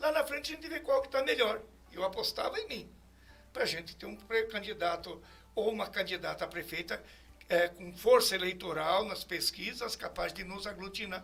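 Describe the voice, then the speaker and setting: His pitch is high and his intonation lively, with big swings in loudness. This man keeps a moderate pace. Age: 70s. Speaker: politician. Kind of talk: interview.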